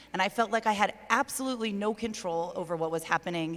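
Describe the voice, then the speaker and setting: A woman speaks in an ordinary speaking voice at a fairly quick pace. Her pitch varies in an ordinary way. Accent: American. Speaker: mayor, panelist. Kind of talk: panel discussion.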